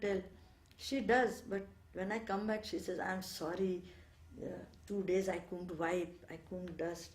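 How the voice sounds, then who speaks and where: Over noticeable background noise and with audible room echo, a woman speaks at a fairly slow pace with a medium pitch and fairly even intonation. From India, Bengal. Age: 70s. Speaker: ashram resident. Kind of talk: interview, reminiscence. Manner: hesitant, many fillers.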